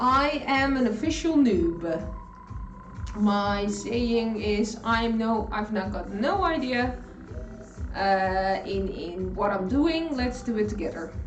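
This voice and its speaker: With a Dutch accent, a woman speaks at a very slow pace with very wide pitch swings, while music plays in the background and room echo is audible. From Netherlands. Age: 50s. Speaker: cooking live streamer. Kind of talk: casual live stream chat while cooking. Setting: home kitchen. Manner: animated.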